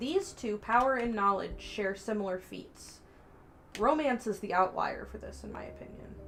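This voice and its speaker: Music plays behind a woman who speaks at a moderate pace, her loudness swinging widely. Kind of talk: casual chat. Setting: live stream.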